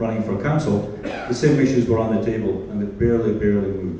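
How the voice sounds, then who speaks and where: A man talks at a fairly quick pace with a medium pitch and ordinary pitch variation. Audible room echo and noticeable background noise surround him. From Scotland. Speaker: mayoral candidate. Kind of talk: candidate speech at public forum. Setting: community hall forum with audience.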